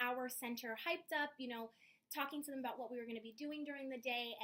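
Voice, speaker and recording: Loud and bubbly, a woman talks at a fairly quick pace in a high voice with ordinary pitch variation. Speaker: job applicant, preschool teacher. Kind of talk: job interview. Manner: loud, bubbly.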